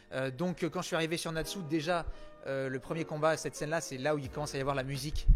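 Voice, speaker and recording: Music plays in the background as the speaker goes at a very fast pace. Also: man. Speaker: voice actor (French dubbing). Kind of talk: interview answer. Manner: energetic.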